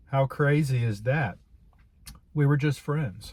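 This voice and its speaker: Somewhat breathy male voice, dark and mellow in tone, with fairly even intonation on a very clean recording with a silent background. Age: 60s. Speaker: video blogger sharing life reflections. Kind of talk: casual monologue to camera. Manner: halting, with many repetitions and fillers.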